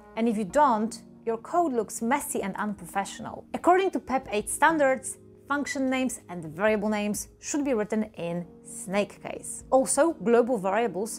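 A woman at a moderate pace, with faint music in the background. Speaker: programming educator. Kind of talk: tutorial. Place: home room. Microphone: lapel.

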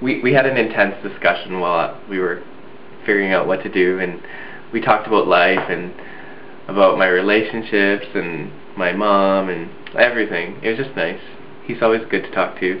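Audible room echo and light background noise surround a man's fairly low voice. His pitch variation is ordinary. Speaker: video blogger. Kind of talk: casual vlog chat. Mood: relaxed, reflective, smiling. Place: home room. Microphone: webcam.

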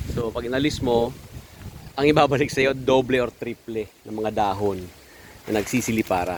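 Noticeable background noise sits behind a voice with lively intonation moving at a moderate pace. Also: man. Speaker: backyard gamefowl breeder vlogger. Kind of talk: casual video walkthrough. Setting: outdoors in backyard.

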